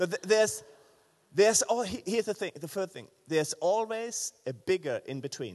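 With a German accent, a man speaks at a moderate pace and high pitch, his voice making very wide pitch swings in a dry, close sound with no echo. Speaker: pastor. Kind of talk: sermon. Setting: church. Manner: halting.

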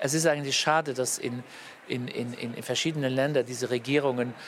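A man at medium pitch and a moderate pace with fairly even intonation over noticeable background noise. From Luxembourg. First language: Luxembourgish (speaking German). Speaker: politician. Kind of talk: interview. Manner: halting.

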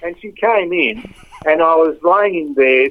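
There is noticeable background noise as a man with an Australian accent speaks at a fairly high pitch. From Australia, Melbourne. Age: 70s. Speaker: football club relative sharing memories. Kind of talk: casual interview reminiscing. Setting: at home, lying in bed. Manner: halting.

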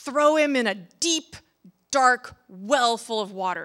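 In a put-on character voice, the speaker moves at a slow pace with lively intonation and a fairly bright tone. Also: woman, fairly high pitch for a woman.

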